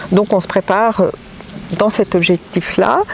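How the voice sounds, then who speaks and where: A woman's voice amid noticeable background noise. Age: 60s. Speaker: hiker interviewed about a trek. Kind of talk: casual interview.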